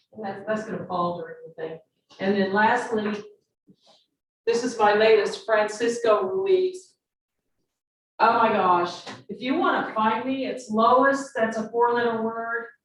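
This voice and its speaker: With audible room echo, a woman speaks at a fairly slow pace in a somewhat breathy voice, leaving long, frequent pauses. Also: ordinary pitch variation, big swings in loudness. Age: 70s. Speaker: forensic artist and portrait painter. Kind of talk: speech at a public event. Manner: animated.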